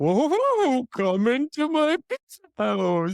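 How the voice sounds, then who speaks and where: A high-pitched, put-on character voice at a very slow pace. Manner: goofy, exaggerated, inviting.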